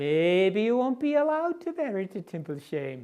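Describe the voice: The voice is doing plain reading aloud. The whole clip is plain reading aloud.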